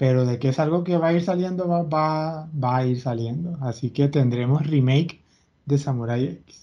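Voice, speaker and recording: A man speaks at a moderate pace in a fairly high pitch, with a dark, mellow tone and ordinary pitch variation. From Venezuela. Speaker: podcast host. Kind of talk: casual chat.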